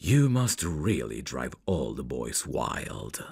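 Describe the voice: A man's put-on character voice, extremely low in pitch, husky with a rough edge and vocal fry, slightly mellow in tone, with big pitch swings at a slow pace. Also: very clean recording, silent background.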